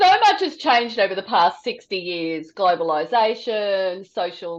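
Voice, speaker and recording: A woman talks at a moderate pace with an Australian accent. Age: 60s. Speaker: podcast host. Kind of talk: casual chat. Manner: conversational, with many fillers.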